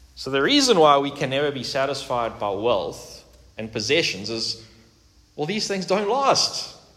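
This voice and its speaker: Speaking at a moderate pace, a man uses a fairly high pitch with very wide pitch swings. Room echo is audible, and there is noticeable background noise. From South Africa. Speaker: pastor. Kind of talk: sermon.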